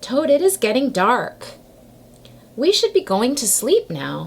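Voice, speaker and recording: A woman talks in a put-on character voice, pitched high. Her pace is fairly slow. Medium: read story.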